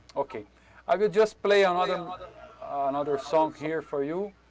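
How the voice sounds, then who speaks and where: A man speaks in a Brazilian accent. His pace is moderate, with ordinary pitch variation. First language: Portuguese. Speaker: drum teacher. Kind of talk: online workshop. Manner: halting.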